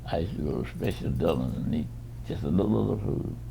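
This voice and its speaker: A man with a very deep, low pitch and a dark, mellow tone uses vocal fry and very wide pitch swings. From United States. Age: 80s+. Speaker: retired educator. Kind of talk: interview answer. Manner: halting, slow.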